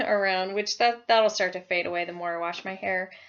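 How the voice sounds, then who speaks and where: A woman talks at a fairly quick pace with a medium pitch and fairly even intonation. The background is quiet. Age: 30s. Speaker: vlogger. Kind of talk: casual vlog talk. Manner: halting, many fillers.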